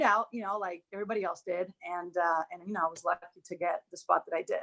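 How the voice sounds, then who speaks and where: With a Spanish accent, a woman at medium pitch talks at a fairly quick pace with hardly any pauses, a bright, sharp tone and big swings in loudness, in a dry, close sound with no echo. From Dominican Republic. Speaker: former college tennis player, alum. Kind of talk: casual reminiscing on a group video chat.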